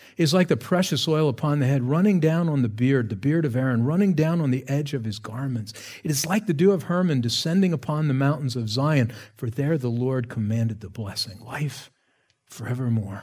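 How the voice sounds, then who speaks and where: Lively intonation marks this man's medium-pitched, somewhat breathy voice. He speaks at a fairly quick pace, with audible room echo. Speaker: pastor. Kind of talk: sermon.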